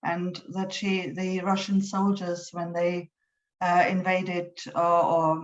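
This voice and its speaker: A woman with a German accent speaks in a fairly low pitch with monotone, flat intonation. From Germany. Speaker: poet. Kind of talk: poetry reading with introductions. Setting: online event. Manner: halting, many fillers.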